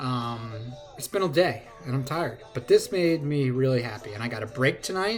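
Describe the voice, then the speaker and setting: With noticeable background noise behind him, a man at a medium pitch speaks with lively intonation and big swings in loudness. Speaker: sports card collector. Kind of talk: casual card-opening vlog. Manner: fast.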